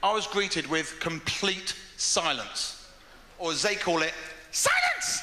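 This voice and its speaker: An English accent comes through noticeable background noise. Audible room echo is present too. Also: man. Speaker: stand-up comedian. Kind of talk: stand-up. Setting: stage with audience. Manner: fast.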